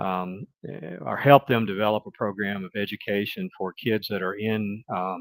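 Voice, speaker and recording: Speaking with a Mississippi accent, a man talks at a moderate pace in a fairly low pitch with ordinary pitch variation. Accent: Southern US (Mississippi). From US South, Mississippi. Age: 60s. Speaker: retired business executive, guest. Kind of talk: interview conversation. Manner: hesitant, with fillers and restarts.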